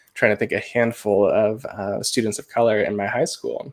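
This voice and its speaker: The man speaks with a Midwestern American accent. The sound is dry and close, with no echo. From US Midwest, rural Iowa. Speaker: tech trainer and author. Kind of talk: interview.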